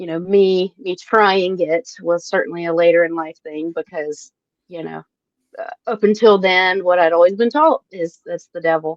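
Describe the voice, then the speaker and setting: Speaking at a fairly slow pace, a woman with a Southern US accent keeps a medium pitch and ordinary pitch variation. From US South, South Carolina. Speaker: cannabis scientist. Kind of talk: casual interview chat.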